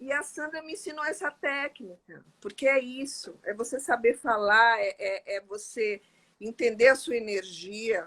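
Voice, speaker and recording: A woman speaks fairly slowly in a high voice with a bright, sharp tone and lively intonation. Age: 60s. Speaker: interview guest sharing life story. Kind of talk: testimony in casual interview.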